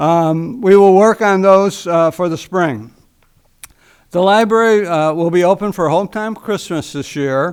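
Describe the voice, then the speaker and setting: On a very clean recording with a silent background, a man with a high voice speaks at a fairly slow pace with ordinary pitch variation. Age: 70s. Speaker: library board representative, retired teacher. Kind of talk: council meeting report. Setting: city council chamber. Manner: rambling, hesitant with fillers.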